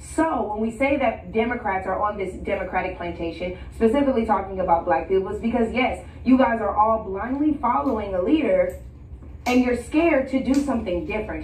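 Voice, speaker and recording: A woman with an American accent and a fairly high pitch speaks with lively intonation, amid audible room echo and noticeable background noise. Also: fairly quick pace. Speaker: political commentator. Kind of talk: TV call-in interview. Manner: articulate.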